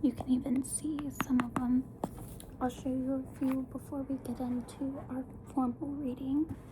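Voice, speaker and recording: A woman's high-pitched, monotone voice with flat intonation, fairly slow pacing, and noticeable background noise. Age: 20s. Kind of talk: ASMR tarot video for sleep, casual talk to camera.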